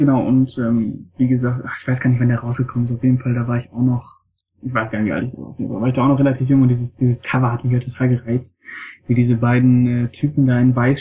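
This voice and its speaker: A man speaks very fast at a medium pitch, his voice somewhat breathy and his intonation flat and monotone. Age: 20s. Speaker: film blogger. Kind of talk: casual chat.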